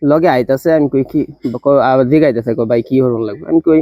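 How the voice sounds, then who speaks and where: A normal speaking voice from a man, medium in pitch, with ordinary variation in pitch. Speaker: vlogger. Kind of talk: casual storytelling.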